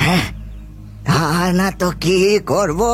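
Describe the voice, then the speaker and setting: A man's put-on character voice, fairly high in pitch, with clear music in the background. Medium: audio drama. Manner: solemn, ominous.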